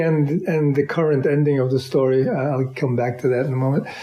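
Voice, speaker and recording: Speaking in a New York accent, a man keeps a fairly quick pace. The room echo is audible, and there is noticeable background noise. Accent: New York American. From US, New York. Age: 70s. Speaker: artist and musician. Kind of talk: interview. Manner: halting, many repeated words.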